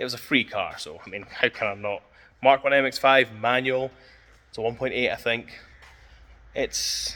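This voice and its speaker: Someone mumbles in a Scottish accent at a moderate pace. The tone is bright and sharp, and the intonation fairly even. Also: man. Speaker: car enthusiast vlogger. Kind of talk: casual vlog talk. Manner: mumbling.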